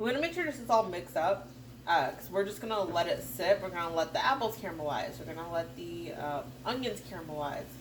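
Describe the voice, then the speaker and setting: A woman's voice swings very widely in pitch over noticeable background noise. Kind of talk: casual cooking tutorial to camera. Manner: casual, chatty.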